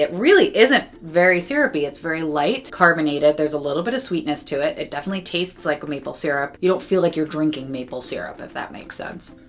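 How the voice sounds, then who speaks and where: Over noticeable background noise, a woman with a fairly low pitch talks at a very fast pace in an animated tone with lively intonation. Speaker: food reviewer. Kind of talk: product review / taste test.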